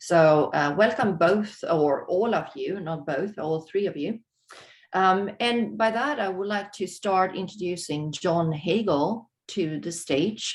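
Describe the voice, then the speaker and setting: Speaking very slowly in a Swedish accent, the voice shows ordinary pitch variation. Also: woman, medium pitch for a woman. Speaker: webinar host, moderator. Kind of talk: webinar introduction. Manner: halting, many fillers.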